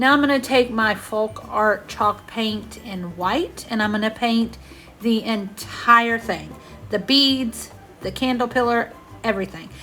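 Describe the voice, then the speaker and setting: A woman with a Southern US accent talks at a fairly slow pace with a fairly high pitch and fairly even intonation while music plays in the background. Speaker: craft video creator. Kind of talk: voiceover tutorial. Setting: home bedroom voiceover. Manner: loud.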